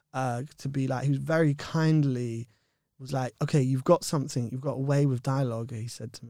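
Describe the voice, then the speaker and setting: On a very clean recording with a silent background, a man with a London accent talks at a medium pitch and moderate pace with ordinary pitch variation. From West London, England. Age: 30s. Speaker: actor and children's author. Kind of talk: interview chat.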